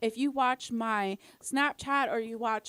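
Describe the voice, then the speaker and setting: Pitched fairly high, a woman speaks in an animated tone with ordinary pitch variation, dry and close with no echo, on a very clean recording with a silent background. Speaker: podcast guest. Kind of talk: casual chat. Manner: loud.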